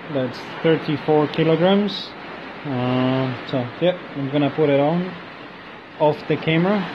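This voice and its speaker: Mumbling at a very slow pace, a man with a fairly high pitch speaks over noticeable background noise. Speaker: DIY maker. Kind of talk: workshop tutorial. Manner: mumbling, hesitant.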